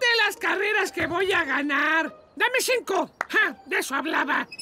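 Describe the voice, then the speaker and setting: A put-on character voice, extremely high-pitched and fairly slow. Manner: dramatic, frantic, boastful.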